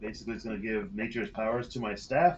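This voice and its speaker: With music playing behind him, this man's pitch swings very widely as he talks fairly quickly. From Scotland. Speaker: tabletop role-playing game player. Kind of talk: casual game play chat. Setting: live stream.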